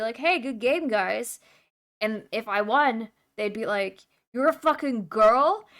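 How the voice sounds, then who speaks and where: Recorded very cleanly with a silent background, a woman talks at a moderate pace in an ordinary speaking voice. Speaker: streamer. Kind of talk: casual chat. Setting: live stream.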